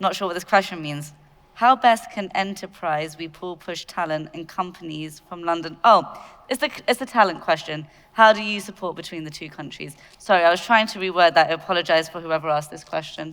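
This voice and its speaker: Speaking with a British accent at a fairly low pitch and fairly quick pace, a woman is heard on a very clean recording with a silent background. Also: ordinary pitch variation, big swings in loudness. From UK. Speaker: panel moderator. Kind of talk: panel moderation. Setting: stage with audience.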